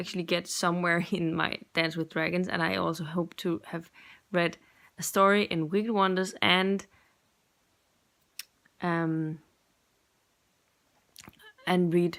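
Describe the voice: A woman speaks fairly slowly at a fairly low pitch, with long, frequent pauses. Her tone is fairly bright and her intonation fairly even.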